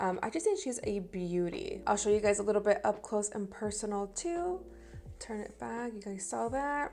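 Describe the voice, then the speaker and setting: A woman speaks at a moderate pace. Music sits in the background. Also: medium pitch for a woman, lively intonation, big swings in loudness. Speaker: beauty vlogger. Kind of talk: product review and makeup tutorial. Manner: casual, chatty.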